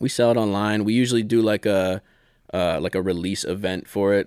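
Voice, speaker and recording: In a very clean recording with a silent background, a man with an American accent speaks with ordinary pitch variation, the sound dry and close with no echo. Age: 30s. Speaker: illustrator and magazine co-founder. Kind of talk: casual interview chat.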